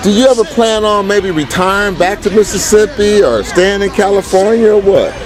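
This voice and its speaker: A man's high-pitched, animated voice at a moderate pace with hardly any pauses, over noticeable background noise. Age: 50s. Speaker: family video interviewer. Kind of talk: casual interview at a family picnic.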